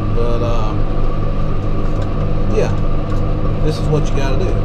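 Against loud background noise, a man talks fairly slowly. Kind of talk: casual vlog chat. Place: farm machine. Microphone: camera far.

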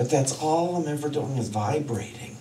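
A man speaks at a moderate pace. The room echoes audibly, with light noise in the background. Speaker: minister. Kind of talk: sermon. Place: stage.

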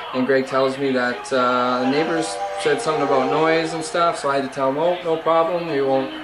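Music in the background behind a man talking at a fairly quick pace. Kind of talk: casual docu-series chat. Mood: annoyed, resigned. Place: home room. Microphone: phone near.

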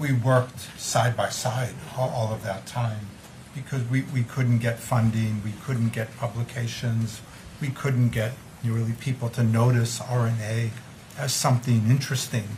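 Light background noise sits under a man speaking at a fairly slow pace in a flat, monotone delivery. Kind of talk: press conference answer. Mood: calm reflective. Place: meeting room. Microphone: podium.

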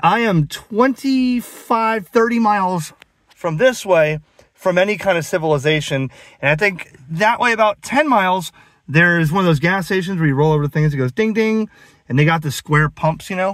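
A man's high pitch at a moderate pace, dry with no echo, against a quiet background. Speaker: ham radio hobbyist. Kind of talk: casual vlog chat. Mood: sarcastic, animated. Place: car. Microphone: phone near.

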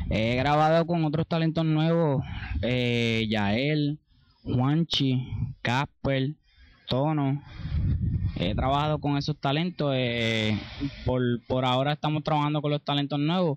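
A man with a fairly high pitch speaks at a very slow pace with ordinary pitch variation. The background is quiet and the sound is dry with no echo. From Puerto Rico, Ponce. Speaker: reggaeton singer and songwriter. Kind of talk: interview. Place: garden. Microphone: handheld.

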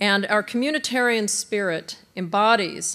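Here a woman is talking. Her pace is very slow. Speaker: college president. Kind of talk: welcome speech. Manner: formal. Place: hall. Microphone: podium.

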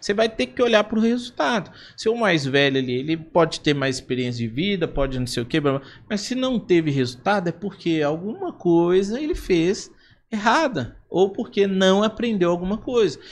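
With very wide pitch swings, a man with a high pitch speaks at a moderate pace. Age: 20s. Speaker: entrepreneur; podcast guest. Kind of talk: casual chat. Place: studio. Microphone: studio mic.

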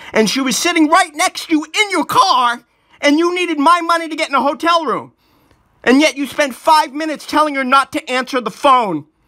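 Against a quiet background, a man raises and projects his voice at an extremely high pitch. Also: ordinary pitch variation, fairly quick pace. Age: 40s. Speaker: documentary filmmaker. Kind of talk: casual chat. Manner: animated. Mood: angry, agitated. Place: home room. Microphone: phone near.

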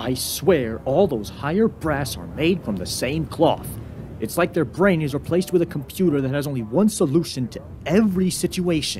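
Gruff and at a moderate pace, a put-on character voice comes through over clear background noise. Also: man, fairly high pitch for a man. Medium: short film. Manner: gruff, blunt, angry at superiors.

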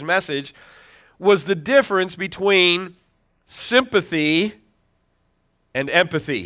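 A man's voice, showing ordinary pitch variation, comes across a quiet background. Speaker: pastor. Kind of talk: sermon. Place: church.

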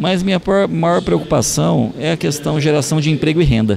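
Noticeable background noise accompanies a man whose pitch swings very widely as he talks at a fairly slow pace. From Ariquemes region, Rondônia, Brazil. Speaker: state legislator. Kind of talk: interview. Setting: public hearing venue. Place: hall. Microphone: handheld.

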